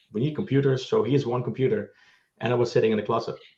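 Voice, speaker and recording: A man with a Dutch accent at a very fast pace, medium in pitch and somewhat breathy. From Netherlands. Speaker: tech co-founder and CTO. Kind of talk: panel discussion.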